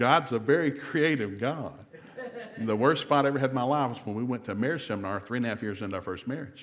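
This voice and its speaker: A man with an American accent, medium pitch and an animated tone at a very fast pace. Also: ordinary pitch variation. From US South. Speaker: marriage seminar speaker. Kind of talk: seminar talk. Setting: church seminar with live audience.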